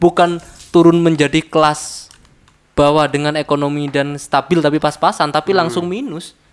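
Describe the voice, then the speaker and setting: At a moderate pace, a man with a fairly high pitch speaks in a flat, monotone way. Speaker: podcast guest, trader. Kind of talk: casual chat. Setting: indoor room, heavy rain outside.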